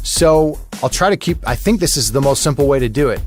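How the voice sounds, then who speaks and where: This man talks at a fairly quick pace in a relaxed tone. Music plays in the background. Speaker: podcast host and voice actor; audiobook narrator. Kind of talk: casual podcast intro talk. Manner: conversational, relaxed.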